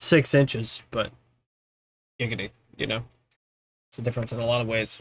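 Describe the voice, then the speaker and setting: Mumbling and somewhat breathy, a man speaks at medium pitch and a fairly quick pace with fairly even intonation. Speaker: gaming streamer. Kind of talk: casual live stream chat. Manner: tends to mumble. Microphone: mic moved closer to face, picking up better.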